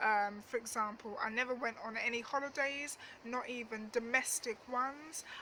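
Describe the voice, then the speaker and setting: A woman's high-pitched voice at a moderate pace, with fairly even intonation and noticeable background noise. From East London (Dagenham), England. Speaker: travel vlogger. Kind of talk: storytime monologue. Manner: casual, hesitant with fillers.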